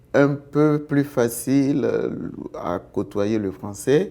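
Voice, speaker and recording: Speaking very slowly in an Ivorian accent, a man lets his pitch vary in an ordinary way. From Côte d'Ivoire. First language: Baoulé (speaking French). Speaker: interviewee in street poll. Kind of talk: vox pop interview.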